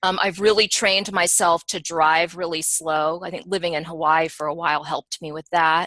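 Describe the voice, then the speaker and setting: A plain, everyday voice speaks at a moderate pace in a dry, close sound with no echo. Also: woman. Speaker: human design teacher and analyst. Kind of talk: webinar discussion. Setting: online webinar.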